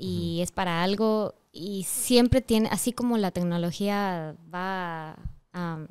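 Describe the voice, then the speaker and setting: The voice keeps a fairly even intonation over a quiet background. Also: woman. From Ecuador. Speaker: voice over artist and singer. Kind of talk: interview answer. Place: studio. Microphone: studio mic.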